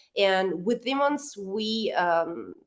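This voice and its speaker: A woman talks with an Italian accent. The recording is very clean, with a silent background. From Italy. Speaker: rock band member. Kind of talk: interview. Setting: radio interview, late at night for guest. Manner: halting, many fillers and restarts.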